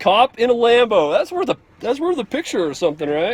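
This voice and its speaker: A man speaks loudly at a moderate pace with an extremely high pitch and very wide pitch swings, in a dry, close sound with no echo and noticeable background noise. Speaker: police officer and family vlogger. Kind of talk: casual vlog narration.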